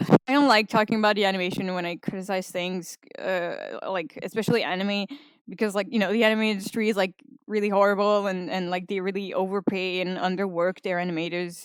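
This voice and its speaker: This woman talks fairly quickly at a medium pitch, her intonation fairly even. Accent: non-native. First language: not English. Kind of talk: casual opinion rant. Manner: rambling, hesitant.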